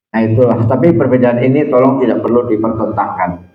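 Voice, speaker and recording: Audible room echo surrounds a man who talks at a moderate speed. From Central Java (Tegal). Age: old. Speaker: Islamic preacher and university lecturer. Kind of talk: religious talk to congregation.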